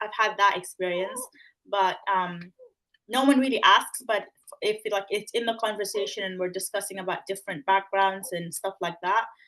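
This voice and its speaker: With an American accent, a woman speaks at a moderate pace, her pitch varying in an ordinary way. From Sudan. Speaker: trainee solicitor. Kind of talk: panel discussion.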